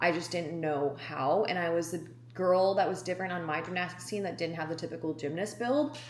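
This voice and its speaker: Fairly low-pitched woman's voice with an American accent, fairly quick in pace, with ordinary pitch variation and audible room echo. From Wisconsin, US Midwest. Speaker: fitness vlogger and bodybuilding coach. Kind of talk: casual vlog talk to camera. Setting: outdoors on a walk.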